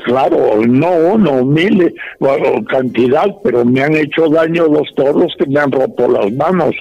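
A man talks at a fairly slow pace with hardly any pauses and a fairly high pitch. His intonation is lively, his loudness very even, and noticeable background noise runs underneath. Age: 80s+. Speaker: bullfighting aficionado and cattle breeder. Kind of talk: casual interview. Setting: phone call.

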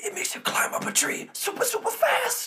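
Delivered at a fairly quick pace, this put-on character voice sits at an extremely high pitch and sounds strained. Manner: breathless, strained.

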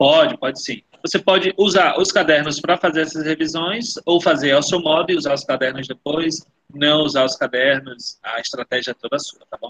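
In a normal speaking voice, a man with a fairly high pitch talks at a moderate pace with ordinary pitch variation, recorded with a dry, close sound and no echo. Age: 30s. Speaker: education official. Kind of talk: webinar Q&A.

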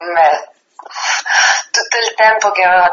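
With fairly even intonation, this woman keeps to a moderate pace. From Sardinia. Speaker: singer-songwriter. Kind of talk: interview. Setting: radio interview.

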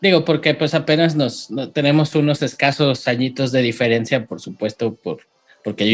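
The speaker is a man with a medium pitch. He talks at a moderate pace with ordinary pitch variation. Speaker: podcast host. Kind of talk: casual interview chat. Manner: halting, many repeated words.

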